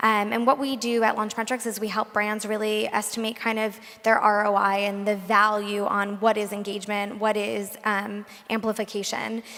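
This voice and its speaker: The voice moves at a moderate pace with flat, monotone intonation. Noticeable background noise can be heard. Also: woman, fairly high pitch for a woman. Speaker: marketing executive. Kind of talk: panel discussion. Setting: stage with audience.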